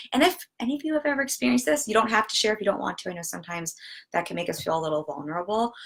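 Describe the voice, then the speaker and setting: With an American accent, a woman of medium pitch talks at a very fast pace, her pitch swinging very widely. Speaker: business coach. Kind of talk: live stream talk. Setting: livestream on social media. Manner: animated.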